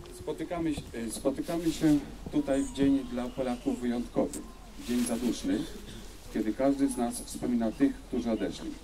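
Over noticeable background noise, a man talks at a fairly quick pace, broken by long, frequent pauses. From Poland. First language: Polish. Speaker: diplomat. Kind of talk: ceremonial speech. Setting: outdoors. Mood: solemn, formal. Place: open country.

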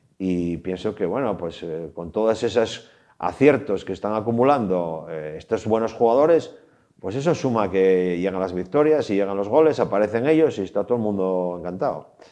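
Moderate-paced, fairly low male voice, dark and mellow, with lively intonation and a quiet background. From Asturias, Trubia; Asturias. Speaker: former footballer. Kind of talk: interview. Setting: studio. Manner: halting. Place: studio. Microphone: lapel.

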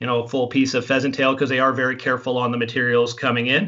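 The background stays quiet. The voice belongs to a man. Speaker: fly tying guest instructor. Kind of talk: interview answer. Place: home room. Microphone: earbuds.

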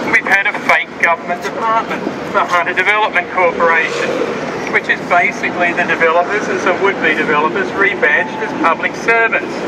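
Loud background noise fills the clip. The speaker talks at a fairly quick pace. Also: man. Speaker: rally speaker and lobby group member. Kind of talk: rally speech to a crowd, political and accusatory. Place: street. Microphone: camera far.

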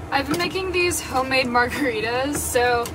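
With noticeable background noise behind her, a woman speaks at a high pitch and a moderate pace. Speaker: van-life vlogger. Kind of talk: casual vlog chat. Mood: relaxed, laughing. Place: home room. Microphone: phone near.

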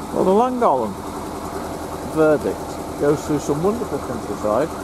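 Dry sound with no echo against loud background noise. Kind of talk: casual vlog chat. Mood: mildly annoyed then relaxed. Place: boat.

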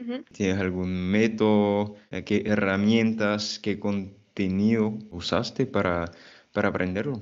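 At a very slow pace, a man speaks in a fairly low, monotone, flat voice over a quiet background. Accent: French. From French-speaking country. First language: French (speaking Spanish). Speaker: Spanish teacher, YouTuber. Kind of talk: casual interview chat. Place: home room. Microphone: earbuds.

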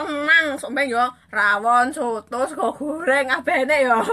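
A woman's raised, projected voice, high-pitched, bright and sharp in tone, with ordinary pitch variation. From East Java (Blitar/Kediri area); East Java, Indonesia. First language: Javanese (speaking Indonesian). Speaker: social media live streamer. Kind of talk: casual live stream chat reading comments. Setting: Facebook live stream. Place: home room. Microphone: phone near.

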